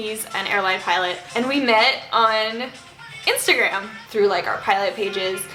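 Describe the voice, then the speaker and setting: Music plays in the background of this recording, and there is audible room echo. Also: woman. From Canada, Northern Ontario, French-speaking. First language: French. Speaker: lifestyle vlogger. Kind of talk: casual chat. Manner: casual, chatty.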